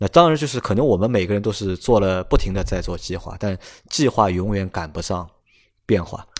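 A man's fairly low, ordinary speaking voice at a fairly quick pace with lively intonation, in a very clean recording with a silent background. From Shanghai, China. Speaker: podcast host. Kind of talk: casual chat.

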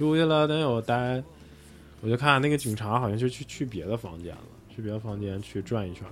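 A plain, everyday voice from a man, medium in pitch with ordinary pitch variation, a fairly quick pace and big swings in loudness. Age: 40s. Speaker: bar owner. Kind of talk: casual chat.

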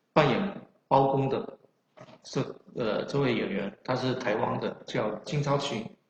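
A man with a strong Chaoshan accent speaks at a very slow pace and medium pitch with lively intonation. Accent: strong Chaoshan accent in Mandarin. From China, Chaoshan region of Guangdong. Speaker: history scholar and author. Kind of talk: lecture. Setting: online livestream lecture. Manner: halting, many filler sounds.

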